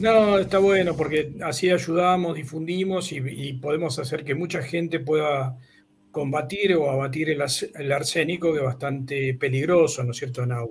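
His voice comes out somewhat breathy. A man is talking at a fairly high pitch. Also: ordinary pitch variation, moderate pace. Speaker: engineer and university professor. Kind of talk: technical explanation in a video chat.

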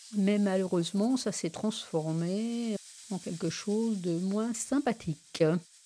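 On a very clean recording with a silent background, a woman speaks at a very slow pace. Her medium-pitched voice has a dark, mellow tone and ordinary pitch variation. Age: 70s. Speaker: retiree living alone with tinnitus. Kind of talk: personal testimony. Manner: halting.

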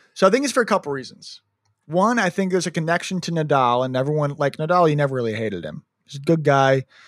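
Recorded dry and close with no echo, a man with a Midwestern American accent talks at a very fast pace, his voice fairly high and his intonation lively. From US Midwest. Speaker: sports podcast co-host. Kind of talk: casual chat. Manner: loud.

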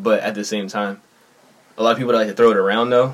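Rattling along at a very fast pace, a man with an American accent speaks in a fairly low pitch with monotone, flat intonation. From Philadelphia, South Philly. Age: 20s. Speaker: up-and-coming rapper. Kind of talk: casual chat.

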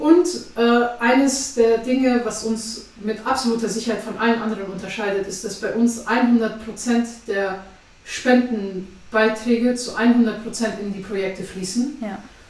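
Amid noticeable background noise and audible room echo, a woman with a fairly high pitch speaks at a fairly slow pace, her intonation fairly even and her loudness swinging widely. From Afghanistan. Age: 20s. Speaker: charity chairwoman. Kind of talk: interview. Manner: hesitant with many fillers.

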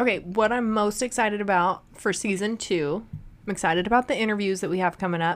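A woman speaks at a very fast pace. Her pitch is medium, with ordinary variation. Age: 30s. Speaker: podcast co-host. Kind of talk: casual chat. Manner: animated.

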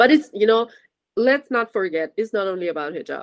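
Speaking with a Persian accent, a woman uses a medium pitch and ordinary pitch variation. The sound is dry and close, with no echo. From Iran. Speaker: university student. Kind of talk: interview.

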